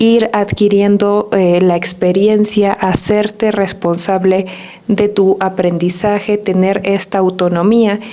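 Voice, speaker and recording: Against noticeable background noise, a woman of medium pitch speaks very slowly in a monotone, flat intonation, with very even loudness. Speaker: Spanish teacher. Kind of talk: podcast monologue. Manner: soft-spoken.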